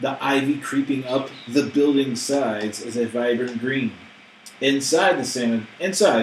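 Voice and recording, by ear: The text is read aloud. The voice sounds natural.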